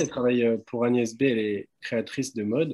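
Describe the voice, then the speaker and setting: The speaker is a man with fairly even intonation. He keeps to a moderate pace. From Paris region, France. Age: 20s. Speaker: visual artist. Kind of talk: live presentation of own work. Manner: halting, many hesitations; casual.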